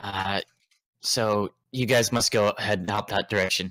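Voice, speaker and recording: A man uses a put-on character voice that is raspy and fairly low in pitch. He speaks at a moderate pace with monotone, flat intonation. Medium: actual play. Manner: hesitant, full of filler words.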